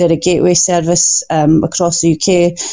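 In a Scottish accent, a woman speaks with monotone, flat intonation. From Scotland. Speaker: recovery organization worker. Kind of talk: interview. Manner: nervous at first.

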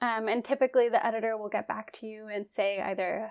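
A woman with a plain, everyday voice, fairly high in pitch, at a moderate pace on a very clean recording with a silent background. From West Virginia. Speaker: astronomy communications specialist. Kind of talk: interview.

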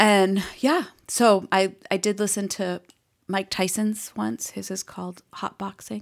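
In a very clean recording with a silent background, a woman with a slight Boston accent speaks at a very slow pace, her medium pitch showing ordinary variation. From Boston, US Northeast. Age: 50s. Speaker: podcast guest, mom. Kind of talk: casual chat.

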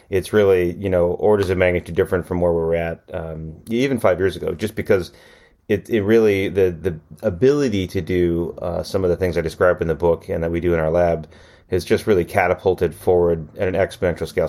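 A man's very deep, low voice with a dark, mellow tone and an Upper Midwest accent, at a very fast pace. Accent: Upper Midwest American. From US Midwest, Racine, Wisconsin. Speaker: geneticist and professor. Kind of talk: interview.

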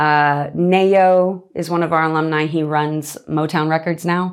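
In a very clean recording with a silent background, a woman with an American accent speaks at a fairly slow pace, her very deep, low pitch carrying fairly even intonation. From Nevada, outside Las Vegas. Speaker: singer-songwriter. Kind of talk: casual chat.

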